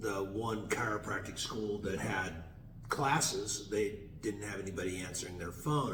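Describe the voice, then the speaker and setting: A man's fairly low voice at a fairly slow pace, lively in intonation, with audible room echo. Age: 60s. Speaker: chiropractor. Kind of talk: interview. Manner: halting.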